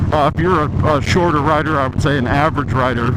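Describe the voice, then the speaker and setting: A man speaks with a fairly high pitch and ordinary pitch variation. There is audible room echo and noticeable background noise. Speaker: motorcycle vlogger. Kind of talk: casual review vlog while riding. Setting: riding a motorcycle outdoors. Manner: voice vibrating from the ride; hesitant, many fillers.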